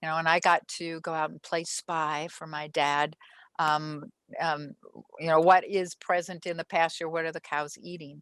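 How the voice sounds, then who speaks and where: Against a quiet background, with a dry, close sound and no echo, a woman with an American accent speaks at a fairly low pitch in monotone, flat intonation, with big swings in loudness. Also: moderate pace. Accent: slight Minnesota accent at times. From Minnesota. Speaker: soil microbiologist. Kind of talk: interview. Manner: halting, many fillers.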